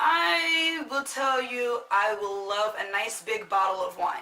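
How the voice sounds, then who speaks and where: A woman speaks in a raised, projected voice. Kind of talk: casual talk to camera.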